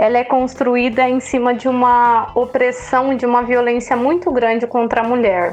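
Against noticeable background noise, a woman talks at a high pitch and a moderate pace. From Andirá, Paraná, Brazil. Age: 30s. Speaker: mayoral pre-candidate. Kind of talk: interview.

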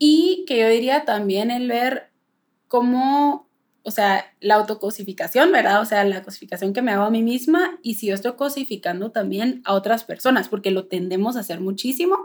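At a moderate pace, a woman talks in a fairly high pitch. Her intonation is lively. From Guatemala. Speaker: nutritionist podcast co-host. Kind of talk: casual chat. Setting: remote call across two countries.

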